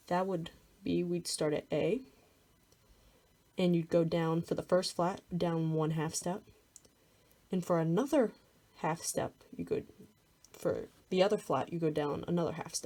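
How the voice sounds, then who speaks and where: A dark, mellow tone with vocal fry, ordinary pitch variation and a moderate pace broken by long, frequent pauses. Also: woman. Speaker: music theory tutor. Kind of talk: tutorial. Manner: casual.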